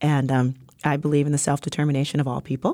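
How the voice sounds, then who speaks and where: A woman with an American accent, very deep and low in pitch, dark and mellow in tone, at a fairly quick pace in a very clean recording with a silent background. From New York, South Bronx. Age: 40s. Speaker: entrepreneur and community developer. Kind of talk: interview. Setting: studio. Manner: animated.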